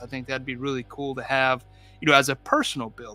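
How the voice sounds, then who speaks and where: A man with a Southern US accent, medium in pitch and fairly quick in pace, over music in the background. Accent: southern twang. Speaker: diorama artist YouTuber. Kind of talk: live stream chat. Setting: live stream. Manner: casual, halting.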